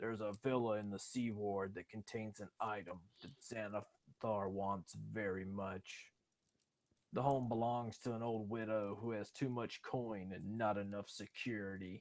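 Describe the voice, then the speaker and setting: A man puts on a gruff character voice with a fairly low pitch. He keeps a moderate pace. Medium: actual play. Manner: brusque, contemptuous.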